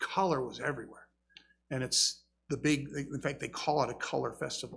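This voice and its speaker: Speaking at a moderate pace, a man uses a normal speaking voice with a fairly high pitch. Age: 60s. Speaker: pastor. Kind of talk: sermon.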